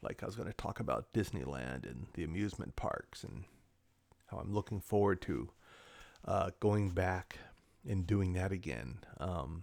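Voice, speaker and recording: A man with a very deep, low voice and an American accent speaks at a moderate pace, with lively intonation and vocal fry. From Southern California. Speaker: vlogger. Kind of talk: casual monologue. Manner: rambling, halting with fillers.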